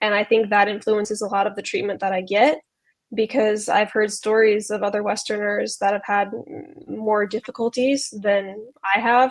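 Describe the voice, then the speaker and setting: At a moderate pace, a woman with a fairly high pitch speaks in fairly even intonation. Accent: American. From US South, Charlotte, North Carolina. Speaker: university student. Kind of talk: interview. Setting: livestream video call.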